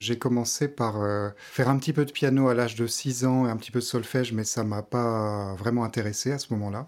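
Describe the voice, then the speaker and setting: On a very clean recording with a silent background, a man speaks at medium pitch and a fairly quick pace, hardly pausing, with fairly even intonation. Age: 30s. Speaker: pianist and vocal coach. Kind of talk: casual interview chat. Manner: halting, many hesitations.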